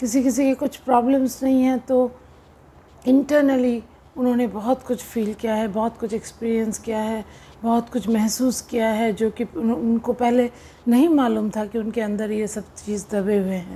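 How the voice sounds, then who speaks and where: A woman speaks with a fairly high pitch, a dark, mellow tone and fairly even intonation. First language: not Hindi (speaking Hindi). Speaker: spiritual coach. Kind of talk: spiritual talk to camera.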